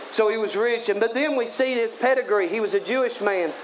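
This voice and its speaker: An extremely high-pitched man speaks in an animated tone at a moderate pace. Noticeable background noise sits under his voice. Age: 30s. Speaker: evangelist preacher. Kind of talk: sermon. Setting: tent revival meeting.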